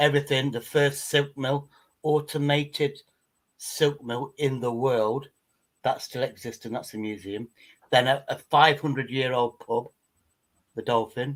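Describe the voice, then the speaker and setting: A man with an English accent and a fairly high pitch, fairly slow pace, fairly even intonation and long, frequent pauses. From England. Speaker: livestream panelist. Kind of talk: casual chat.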